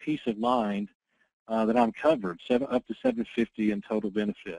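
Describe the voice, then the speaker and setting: A man speaks at a very fast pace, and the sound is dry and close with no echo. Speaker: insurance sales trainer. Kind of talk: training presentation.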